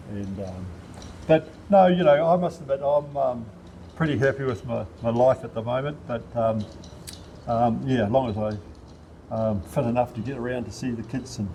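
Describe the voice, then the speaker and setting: With a New Zealand accent, a man of medium pitch speaks in a dark, mellow, somewhat breathy tone at a moderate pace, using ordinary pitch variation and long, frequent pauses. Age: 70s. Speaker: local councillor and former rugby player. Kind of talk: casual interview. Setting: outdoors at a sports park. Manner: halting, many fillers.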